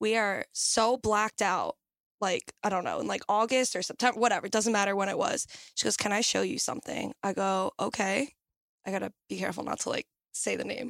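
Speaking fairly quickly with vocal fry and fairly even intonation, a woman comes through with a dry, close sound with no echo. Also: medium pitch for a woman. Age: 20s. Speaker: nanny. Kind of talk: casual chat.

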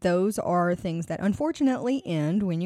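This woman has an unremarkable speaking voice with a medium pitch. She talks at a fairly quick pace on a very clean recording with a silent background. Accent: American. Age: 20s. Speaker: podcast host. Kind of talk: casual monologue.

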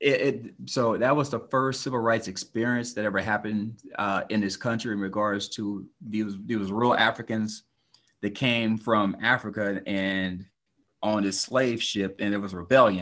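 Here is an ordinary speaking voice from a man with an American accent and a fairly low pitch. His pace is moderate and his intonation fairly even. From California (Oxnard). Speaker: author and actor. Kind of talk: casual interview.

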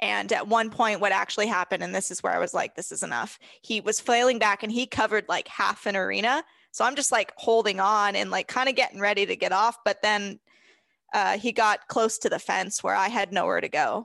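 The speaker has an American accent and a fairly quick pace. The background is quiet. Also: woman. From California. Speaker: horse trainer and podcaster. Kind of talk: casual interview chat. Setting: video call.

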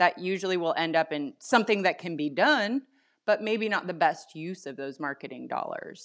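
A woman speaks at a moderate pace against a quiet background, with a plain, everyday voice. Her medium pitch carries lively intonation and big swings in loudness. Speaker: marketing agency co-founder. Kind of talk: podcast interview.

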